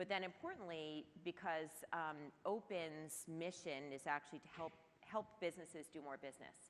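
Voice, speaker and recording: Speaking at a moderate pace in an unremarkable speaking voice, a woman keeps fairly even intonation and a fairly low pitch while her loudness swings widely. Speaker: marketing executive. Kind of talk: panel discussion.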